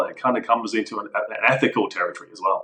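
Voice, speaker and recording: A man with a southern English accent. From southern England, Eastbourne. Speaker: enterprise architect. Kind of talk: casual interview discussion.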